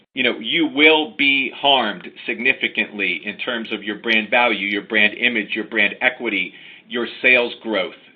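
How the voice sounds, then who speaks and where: A man speaks at a medium pitch with an American accent. It is a plain, everyday voice. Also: ordinary pitch variation, moderate pace. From United States. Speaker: lawyer. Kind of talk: webinar presentation. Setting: online webinar.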